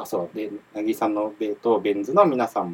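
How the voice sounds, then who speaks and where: The voice belongs to a man. His pitch is fairly low. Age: 20s. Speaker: rock band member and podcast host. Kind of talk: casual chat. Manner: animated.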